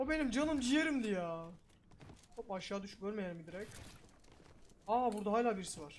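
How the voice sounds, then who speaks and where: Fairly quick speech broken by long, frequent pauses, with big swings in loudness and audible room echo. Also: man, high pitch for a man, lively intonation. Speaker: gaming streamer. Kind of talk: gameplay commentary. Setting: small room. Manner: animated.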